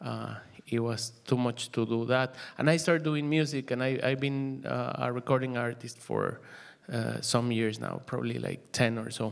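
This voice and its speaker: A man with a Mexican accent, medium pitch, fairly even intonation and a moderate pace. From Mexico, Mexico City. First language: Spanish. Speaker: musician and DJ. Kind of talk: panel presentation. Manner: halting, many fillers.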